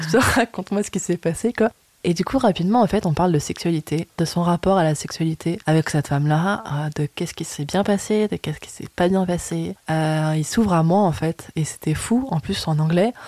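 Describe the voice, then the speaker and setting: With an animated tone and ordinary pitch variation, a woman with a fairly low pitch talks at a moderate pace with hardly any pauses, in a dry, close sound with no echo. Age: 20s. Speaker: podcast guest sharing intimate experiences. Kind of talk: personal testimony in casual interview. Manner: animated, frequent laughter.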